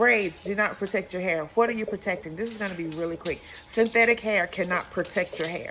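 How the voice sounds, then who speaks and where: Through noticeable background noise, a woman talks in an animated tone at a medium pitch and a fairly quick pace. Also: ordinary pitch variation. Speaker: hairstylist. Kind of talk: tutorial.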